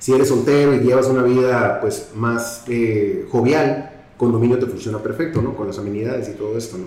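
A man talks at a fairly quick pace with hardly any pauses, his medium pitch and fairly even intonation heard through audible room echo and noticeable background noise. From Mexico, Tijuana. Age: 50s. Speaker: real estate executive. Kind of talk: casual interview.

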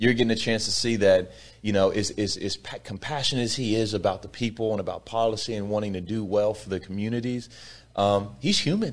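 A man with a normal speaking voice, fairly low pitch, fairly even intonation and a fairly quick pace. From Texas, Sugar Land near Houston. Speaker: political candidate. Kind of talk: interview.

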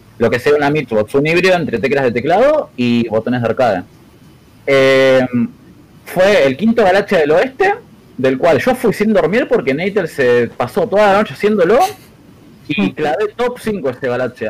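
Over noticeable background noise, a man with a fairly high pitch speaks at a moderate pace, his pitch swinging very widely. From Argentina, Buenos Aires western suburbs. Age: 20s. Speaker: competitive gamer. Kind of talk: casual interview chat.

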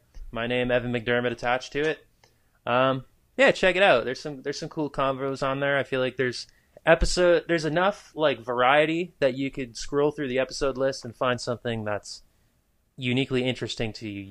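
A man with an American accent, a plain, everyday voice at medium pitch, ordinary pitch variation and a fairly quick pace over a quiet background. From New Hampshire, US. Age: 20s. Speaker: musician guest. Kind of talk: casual chat.

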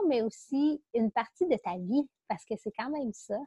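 A woman speaks in a Quebec accent. Her pitch varies in an ordinary way. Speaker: podcast host. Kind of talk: casual interview.

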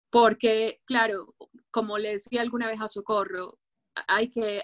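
A woman speaks at a very slow pace and medium pitch, with a dry, close sound with no echo. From Ecuador. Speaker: writer. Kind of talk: interview.

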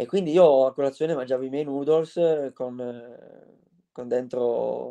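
This man has a fairly high pitch, a dark, mellow tone and ordinary pitch variation, with a dry, close sound and no echo. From Aosta Valley, Italy. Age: 20s. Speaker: mountain runner. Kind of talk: interview. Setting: live stream.

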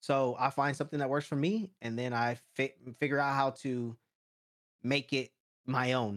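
A man has an unremarkable speaking voice at medium pitch. He talks at a moderate pace with ordinary pitch variation. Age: 30s. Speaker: YouTuber. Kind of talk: casual chat.

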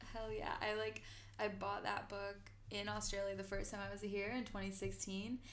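Noticeable background noise and audible room echo surround a woman speaking at a moderate speed. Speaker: podcast host. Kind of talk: casual chat. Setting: home recording.

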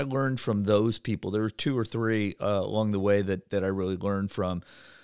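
On a very clean recording with a silent background, a man with an Ohio accent speaks at a fairly low pitch with a dry, close sound and no echo. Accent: Midwestern US (Ohio). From Ohio, Cleveland. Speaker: bank executive. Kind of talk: casual interview. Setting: podcast studio.

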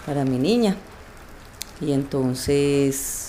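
A woman speaks very slowly in a very deep, low voice with a dark, mellow tone. Her intonation is lively. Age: 50s. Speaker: storyteller in a documentary podcast. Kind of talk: personal storytelling.

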